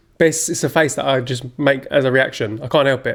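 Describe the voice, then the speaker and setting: A man mumbles at a medium pitch, his intonation fairly even. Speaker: podcast co-host. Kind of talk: casual chat.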